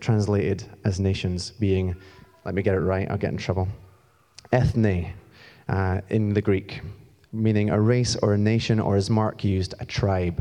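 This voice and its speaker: A man speaks at a moderate pace in a fairly low pitch, his tone dark and mellow. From Scotland. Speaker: church community pastor. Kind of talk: sermon. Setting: church stage with audience. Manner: animated, moves around.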